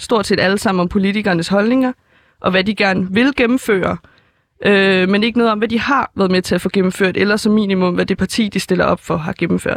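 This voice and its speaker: The speech comes at a moderate pace in a dry, close sound with no echo. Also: woman. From Denmark, Helsingør. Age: young. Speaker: first-time voter. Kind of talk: interview. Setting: studio. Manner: halting, many fillers.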